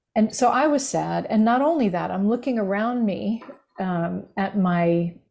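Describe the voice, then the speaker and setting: An unremarkable speaking voice from a woman with an American accent, medium-pitched with lively intonation. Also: fairly slow pace. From United States. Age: 60s. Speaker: grief recovery specialist and former minister. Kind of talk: podcast interview.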